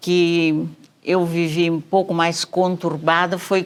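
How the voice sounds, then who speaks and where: In a very clean recording with a silent background, a woman with a fairly low pitch speaks at a very slow pace. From southern Brazil, Santa Catarina (Italian-German colony). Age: 70s. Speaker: physician. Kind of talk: interview, life story.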